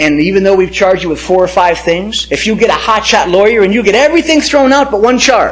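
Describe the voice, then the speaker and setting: Fairly quick and animated, a man speaks in a high voice with lively intonation. Noticeable background noise runs under the recording. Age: 60s. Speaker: pastor. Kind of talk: testimony.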